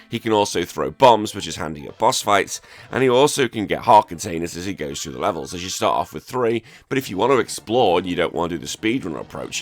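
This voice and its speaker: A man with an English accent talks at a very fast pace and fairly low pitch. His intonation is lively, with big swings in loudness. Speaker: retro gaming YouTuber. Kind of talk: video essay narration. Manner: casual, chatty.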